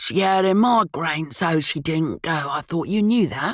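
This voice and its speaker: A put-on character voice, female-sounding and raspy at a middle pitch, comes at a moderate pace in a very clean recording with a silent background. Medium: read story. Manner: morose, curt.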